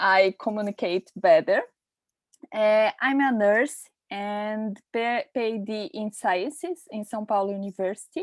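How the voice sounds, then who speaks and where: With a Portuguese accent, the speaker goes at a fairly slow pace with ordinary pitch variation, the sound dry and close with no echo. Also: woman, fairly high pitch for a woman. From Brazil. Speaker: nurse and researcher. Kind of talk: presentation. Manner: halting.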